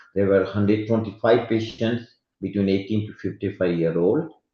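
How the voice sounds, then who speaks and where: The speaker is a man with a fairly low pitch. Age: 60s. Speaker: medical expert speaker. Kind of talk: lecture. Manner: halting.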